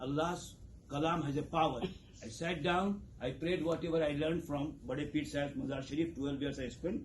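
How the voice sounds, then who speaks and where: With audible room echo, a man talks at a moderate pace in a fairly high voice that shows ordinary pitch variation. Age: 60s. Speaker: community leader. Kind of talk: campaign speech. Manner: animated.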